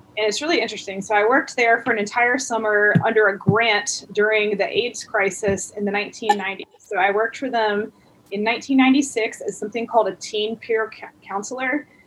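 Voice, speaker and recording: Over noticeable background noise, a woman with an American accent speaks at a fairly high pitch, a moderate pace and with fairly even intonation. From Alabama, US South. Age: 40s. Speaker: comedian and photographer. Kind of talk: casual interview chat. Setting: video call.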